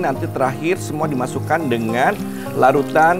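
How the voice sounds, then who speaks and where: A man talking at a fairly quick pace, with clear music in the background. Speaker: cooking show host. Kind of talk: tutorial. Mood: cheerful, warm. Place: studio. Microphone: lapel.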